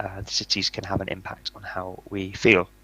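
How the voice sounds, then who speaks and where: With a British accent, a man's voice sounds bright and sharp, dry and close with no echo. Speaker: author and speaker on mentally healthy buildings. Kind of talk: conference talk. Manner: fast.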